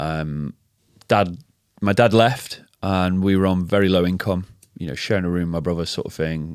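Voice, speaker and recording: A man's very deep, low voice with a slight northern English accent, in a very clean recording with a silent background. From northern England, Macclesfield near Manchester. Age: 30s. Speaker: health and fitness coach, former DJ. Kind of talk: interview testimony. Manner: hesitant, many fillers and repetitions.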